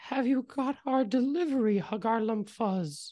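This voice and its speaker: The voice is a put-on character voice with a fairly high pitch. The background is quiet. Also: moderate pace. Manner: gentle.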